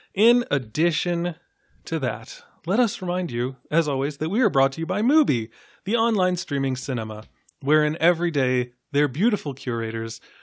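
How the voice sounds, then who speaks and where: In an unremarkable speaking voice, a man talks at a moderate pace with lively intonation. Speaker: film podcast host. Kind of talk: casual roundtable discussion. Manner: casual, profane.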